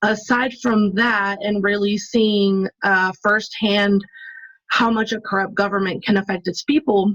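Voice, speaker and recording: A woman talks at a fairly slow pace in a medium pitch. It is an unremarkable speaking voice with fairly even intonation. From Mexico, moved to US at nine. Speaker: activist. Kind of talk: interview conversation.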